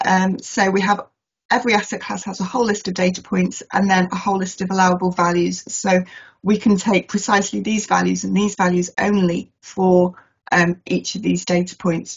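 Her intonation is monotone and flat, and her voice is somewhat breathy at a medium pitch. The woman keeps a moderate pace over a quiet background. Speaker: asset management consultant. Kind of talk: webinar presentation. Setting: video call. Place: home room. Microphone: webcam.

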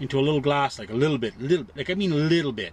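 Over light background noise, a man speaks at a very fast pace with ordinary pitch variation, the sound dry with no echo. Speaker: truck driver vlogger. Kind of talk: casual cooking vlog chat. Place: car. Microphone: phone near.

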